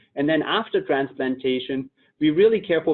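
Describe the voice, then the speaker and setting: A man talks at a moderate pace with a German accent. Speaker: company executive. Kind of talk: webinar presentation.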